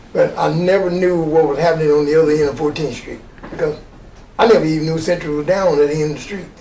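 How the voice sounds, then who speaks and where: A high-pitched man speaks at a fairly quick pace. There is noticeable background noise and audible room echo. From Arkansas (Little Rock). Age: 70s. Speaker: retired coach and Vietnam veteran. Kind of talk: interview. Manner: halting.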